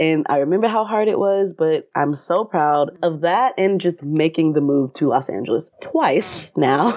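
A woman's normal speaking voice with an American accent, fairly low pitch, lively intonation, a moderate pace, hardly any pauses and very even loudness. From US South (Atlanta, Georgia). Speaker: actor. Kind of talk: casual interview.

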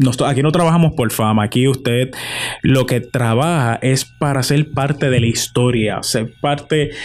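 This is an ordinary speaking voice, a man's, with a fairly high pitch. He keeps a moderate pace and ordinary pitch variation. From Puerto Rico, Morovis. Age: 20s. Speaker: journalist. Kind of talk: interview.

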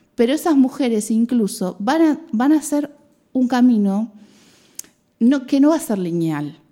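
A woman with a high voice and a Rioplatense accent speaks fairly slowly with lively intonation and long, frequent pauses. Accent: Argentine Rioplatense Spanish. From Argentina, Mar del Plata. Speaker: biologist and women's health educator. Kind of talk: radio interview.

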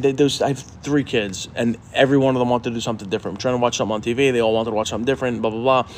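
A man with a medium pitch rattles along at a very fast pace, his intonation fairly even, while noticeable background noise is present. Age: 40s. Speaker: podcast co-host. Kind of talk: casual chat. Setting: garage.

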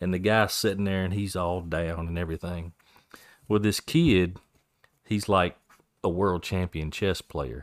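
Very deep and low, a man's playful voice moves at a fairly slow pace with ordinary pitch variation, recorded dry and close with no echo. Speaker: podcast co-host. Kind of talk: casual banter about faith. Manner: joking, playful.

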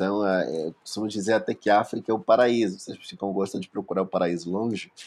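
A man talks in an ordinary speaking voice, fairly low in pitch, at a fairly quick pace with ordinary pitch variation. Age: 20s. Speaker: guest, author. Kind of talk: casual interview chat.

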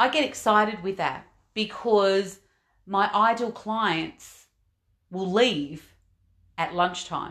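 A woman talks very slowly in an Australian accent, with long, frequent pauses. Her pitch variation is ordinary, and the background is quiet. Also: medium pitch for a woman. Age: 50s. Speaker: life coach and podcast host. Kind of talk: motivational monologue.

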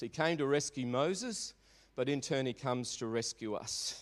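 A man with an Australian accent talks at a fairly slow pace, at medium pitch. His pitch varies in an ordinary way, and the recording is very clean with a silent background. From Australia, Melbourne (Maribyrnong). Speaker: pastor. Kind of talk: sermon. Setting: church.

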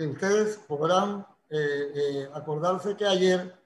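High male voice with ordinary pitch variation. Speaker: lawyer. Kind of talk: interview.

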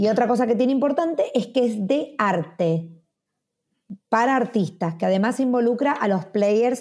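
A woman's dark, mellow voice, fairly high in pitch, with lively intonation at a moderate pace. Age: 40s. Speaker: media personality and startup founder. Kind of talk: interview.

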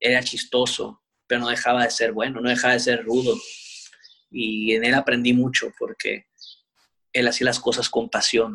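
A man at medium pitch, moderate pace, monotone flat intonation, very even loudness, and long, frequent pauses. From Sinaloa, Mexico (Culiacán). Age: 30s. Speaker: professional wrestler. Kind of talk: interview. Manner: relaxed.

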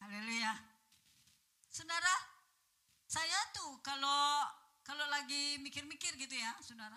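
This woman's high voice is raised and projected, bright and sharp in tone, moving at a fairly slow pace with lively intonation and long, frequent pauses. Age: 70s. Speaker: preacher. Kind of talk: sermon. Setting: church. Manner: animated.

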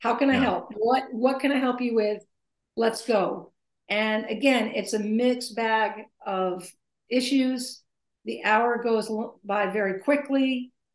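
A woman with an American accent uses an ordinary speaking voice, fairly high in pitch, at a fairly slow pace with fairly even intonation. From US, military family, partly Maine. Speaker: retired basketball coach, author and speaker. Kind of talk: interview. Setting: video call.

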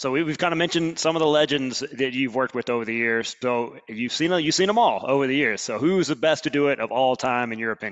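Speaking with an Alabama accent, a man talks at a very fast pace. His pitch is medium. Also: ordinary pitch variation, hardly any pauses. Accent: Southern US (Alabama). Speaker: podcast host. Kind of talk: casual interview. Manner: animated.

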